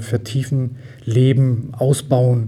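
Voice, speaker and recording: A man with a medium-pitched, dark, mellow voice speaks in a somewhat breathy, monotone, flat delivery. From Düsseldorf area, western Germany. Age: 50s. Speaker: volunteer fire brigade chief. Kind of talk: interview.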